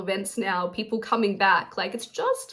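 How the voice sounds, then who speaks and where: Pitched fairly high, the woman's voice carries an Australian accent. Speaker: artist and crafter vlogger. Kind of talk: casual vlog talk to camera. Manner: fast.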